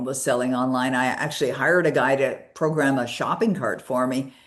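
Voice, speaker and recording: A woman talks at a moderate pace in a very deep, low pitch with fairly even intonation. There is audible room echo. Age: 60s. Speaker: author and personal development coach. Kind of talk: interview.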